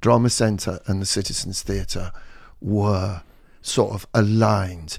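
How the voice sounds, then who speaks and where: A dark, mellow tone at a fairly slow pace, on a very clean recording with a silent background. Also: man. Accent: English. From England. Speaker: community drama director. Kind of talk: casual chat.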